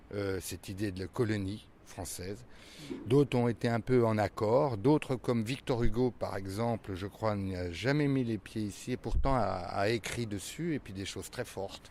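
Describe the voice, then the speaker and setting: The pitch variation is ordinary. The pace is moderate. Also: man, fairly low pitch for a man. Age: 60s. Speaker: stage actor. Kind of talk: interview. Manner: hesitant, many fillers.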